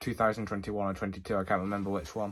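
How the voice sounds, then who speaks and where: Very clean recording with a silent background, a man at fairly low pitch in a monotone, flat intonation. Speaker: railway video creator. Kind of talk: casual video outro. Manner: halting, frequent stutters and fillers.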